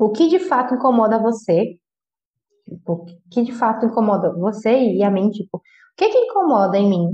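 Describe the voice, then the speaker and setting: At a moderate pace, a woman with a fairly high pitch sounds somewhat breathy, using lively intonation and long, frequent pauses. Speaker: podcast host. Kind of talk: casual monologue. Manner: informal, conversational.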